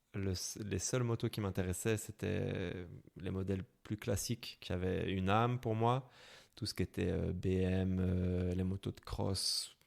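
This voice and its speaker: In a slight Belgian accent, a man talks at a fairly slow pace, his very deep, low pitch carrying fairly even intonation. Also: very clean recording, silent background. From Belgium, Brussels. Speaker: motorcycle traveler. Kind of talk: interview. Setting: podcast. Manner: hesitant, many fillers.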